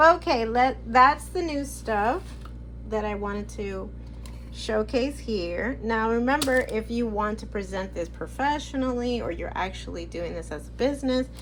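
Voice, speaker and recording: A woman at a moderate pace, with audible room echo. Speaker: product review vlogger. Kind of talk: casual haul video. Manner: halting, many restarts.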